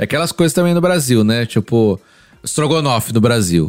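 With lively intonation and a fairly quick pace, a man talks in a plain, everyday voice of medium pitch. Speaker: podcast co-host and pastor. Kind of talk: casual chat.

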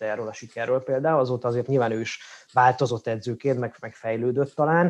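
The speaker is a man with a medium pitch. He talks at a fairly quick pace with fairly even intonation. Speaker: sports podcast host. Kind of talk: casual chat. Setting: studio.

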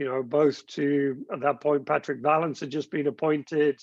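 Dry and close with no echo, a man with an American accent talks at a moderate pace and a fairly high pitch. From Gloucestershire, England. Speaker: company executive. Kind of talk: interview. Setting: video call.

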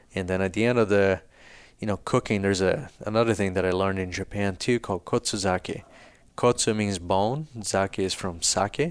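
Delivered at a moderate pace with a Brazilian accent, the speech has fairly even intonation on a very clean recording with a silent background. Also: man, fairly low pitch for a man. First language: Portuguese. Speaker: fly fishing business founder. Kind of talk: casual interview conversation.

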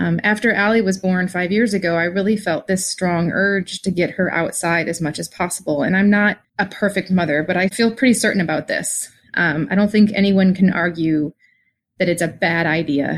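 A woman speaks in an ordinary speaking voice at a medium pitch. Her pace is moderate and her pitch variation is ordinary. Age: 40s. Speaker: listener, mother. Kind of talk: personal story.

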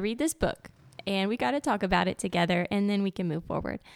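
A woman speaks at a medium pitch in a Louisiana accent. The recording is very clean with a silent background and a dry, close sound with no echo. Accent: US Southern, Louisiana. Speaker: podcast host. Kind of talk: casual interview chat.

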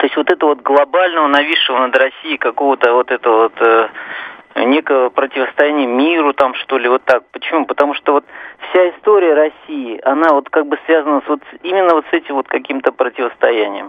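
A man's fairly high voice holds very even loudness, with ordinary pitch variation. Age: 50s. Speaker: radio caller. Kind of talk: opinion on a radio call-in. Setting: phone call. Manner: halting, many fillers.

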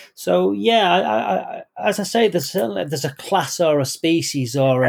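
A man with a northern English accent speaks at a fairly high pitch. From northern England. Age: 40s. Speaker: author. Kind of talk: interview.

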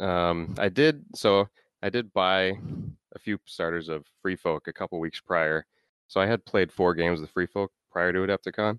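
A man with an American accent speaks at a moderate pace in a very deep, low pitch. His pitch varies in an ordinary way, and the sound is dry and close with no echo. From US Midwest, Minnesota. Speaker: tournament-winning tabletop gamer. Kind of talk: interview.

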